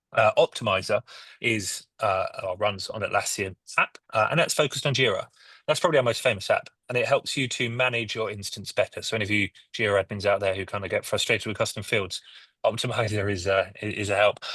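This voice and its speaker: Someone speaks at a very fast pace with a British accent, in a dry, close sound with no echo against a quiet background. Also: man. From UK. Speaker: software company head. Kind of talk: panel discussion.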